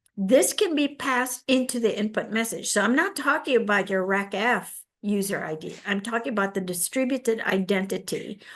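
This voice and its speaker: This woman has a normal speaking voice, pitched fairly high with ordinary pitch variation. She talks at a moderate pace with hardly any pauses. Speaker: technical presenter, mainframe specialist. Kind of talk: technical presentation in a virtual meeting.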